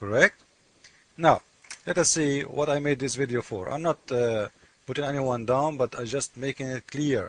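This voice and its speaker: A man speaks at a moderate pace with a non-native accent and ordinary pitch variation. The sound is dry and close, with no echo. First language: not English. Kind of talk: commentary on a comment, screen walkthrough. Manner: animated.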